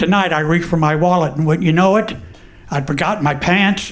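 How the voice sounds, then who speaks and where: Audible room echo surrounds a voice with an American accent and ordinary pitch variation. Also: man. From Texas, Houston. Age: 70s. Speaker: comedian. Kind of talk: stand-up.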